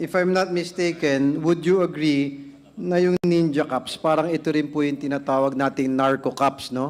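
Here is a man with an unremarkable speaking voice. His intonation is fairly even and his loudness very even. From Philippines. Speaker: lawmaker questioning a witness; witness. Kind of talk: formal hearing interrogation. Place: hall. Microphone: podium.

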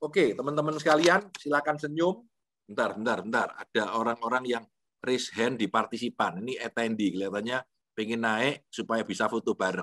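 A man at medium pitch with an unremarkable speaking voice, fairly quick pace and lively intonation. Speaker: lecturer, motivational speaker. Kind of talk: online lecture with Q&A. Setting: video call from home. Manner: relaxed, conversational. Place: home room. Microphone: video call.

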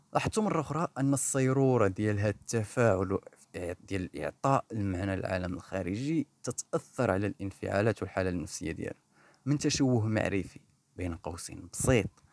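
With a Moroccan accent, a man speaks with lively intonation in a dry, close sound with no echo. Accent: Moroccan Darija. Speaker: clinical psychologist and therapist. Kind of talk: educational podcast monologue.

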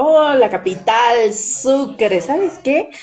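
Over light background noise, a woman speaks at a very slow pace with lively intonation. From southern Bolivia (Tarija); Bolivia. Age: 30s. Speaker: TV news presenter and journalist; interview guest, journalist. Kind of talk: interview over video call. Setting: live stream call from her office. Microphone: video call.

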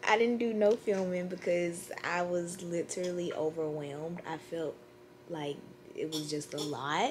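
Light background noise sits behind this speaker. She is a woman with a fairly low pitch. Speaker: vlogger. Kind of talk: casual vlog chat. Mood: cheerful, relaxed. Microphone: phone near.

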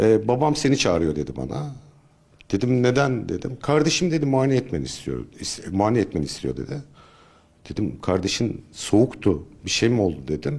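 A man speaks with vocal fry at a moderate pace. His pitch swings very widely. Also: medium pitch for a man. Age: 50s. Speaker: search and rescue volunteer leader. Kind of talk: interview testimony. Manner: hesitant, with filler sounds.

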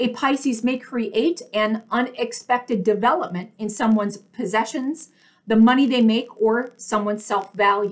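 A woman at a fairly high pitch and moderate pace, with ordinary pitch variation and a quiet background. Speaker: tarot reader. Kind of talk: solo video tarot reading. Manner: loud talker; enunciates clearly. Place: home room. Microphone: earbuds.

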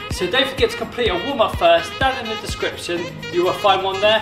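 A high-pitched male voice over clear music in the background. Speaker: fitness instructor. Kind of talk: workout tutorial. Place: gym. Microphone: camera far.

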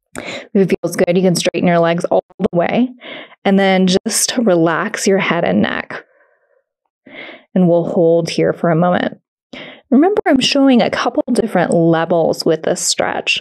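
A woman talks at a fairly slow pace, her pitch showing ordinary variation, over a quiet background. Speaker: yoga instructor. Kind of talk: guided exercise instruction. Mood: calm, gentle, encouraging.

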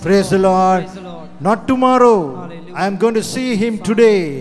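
A man speaks at a very slow pace with faint music in the background. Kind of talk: sermon. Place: hall. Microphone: handheld.

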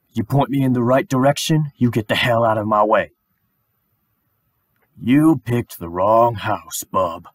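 A man's put-on character voice with long, frequent pauses. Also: medium pitch for a man, moderate pace. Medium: voice reel. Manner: gruff, menacing.

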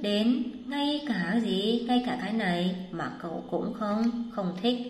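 Very slow in pace, a woman with a fairly high pitch and ordinary pitch variation speaks amid audible room echo. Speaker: Chinese language teacher. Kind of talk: lecture.

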